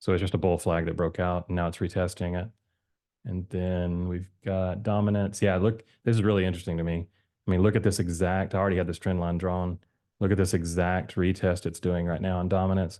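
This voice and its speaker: A man speaks in a very deep, low voice with a dark, mellow tone. His intonation is flat and monotone over a quiet background. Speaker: crypto chart analyst youtuber. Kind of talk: casual chart analysis commentary. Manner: fast; hesitant, many fillers.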